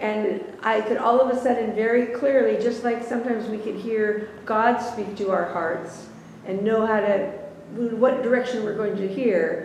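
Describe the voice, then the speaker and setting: Noticeable background noise and audible room echo surround the voice. A woman talks at a moderate pace and a fairly high pitch, with fairly even intonation. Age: 70s. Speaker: Bible study participant. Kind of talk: casual chat.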